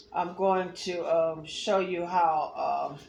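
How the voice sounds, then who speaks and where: With audible room echo, a woman of fairly low pitch speaks at a very slow pace in a monotone, flat intonation. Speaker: art teacher. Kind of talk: tutorial. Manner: halting.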